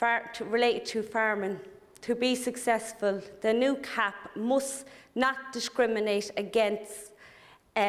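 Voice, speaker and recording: A woman speaks with an Irish accent. Her intonation is fairly even. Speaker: politician. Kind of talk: parliamentary speech. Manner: hesitant, many fillers.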